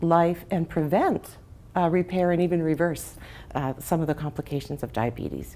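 A woman speaks with a dark, mellow tone and fairly even intonation. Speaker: interview guest, health coach. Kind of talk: interview answer. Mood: warm, passionate. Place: home room. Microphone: lapel.

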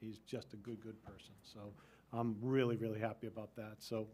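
A man's voice with fairly even intonation. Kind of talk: meeting report remarks. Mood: warm, grateful. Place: meeting room. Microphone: podium.

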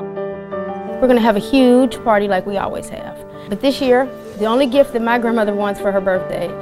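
Clear music plays behind a woman with a medium pitch who speaks at a fairly quick pace. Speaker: granddaughter of the subject. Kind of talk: interview answer. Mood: proud, warm, earnest. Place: home room.

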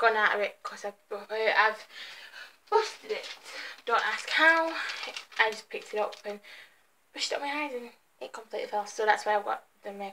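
A woman speaks at a fairly quick pace with big swings in loudness. Light background noise runs underneath. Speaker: beauty vlogger. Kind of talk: casual vlog chat. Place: home room. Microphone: webcam.

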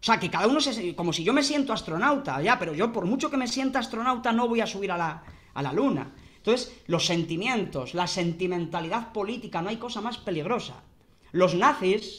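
With lively intonation, a man talks at a moderate pace in a high voice. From Spain, Guadalajara; Spain. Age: 30s. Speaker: philosophy professor. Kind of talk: interview. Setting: video call. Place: home room. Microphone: webcam.

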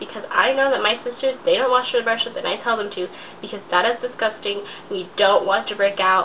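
A woman talks at a moderate pace with a medium pitch. Her tone is bright and sharp over faint background noise.

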